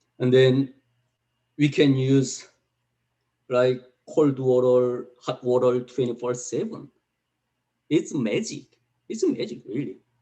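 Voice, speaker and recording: At a fairly slow pace, a man with a Korean accent talks with ordinary pitch variation. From North Korea. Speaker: North Korean defector. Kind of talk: testimony. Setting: video call. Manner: halting.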